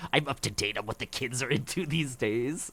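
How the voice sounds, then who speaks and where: A man talks at a fairly quick pace in a put-on character voice. His pitch sits in the medium range. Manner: menacing.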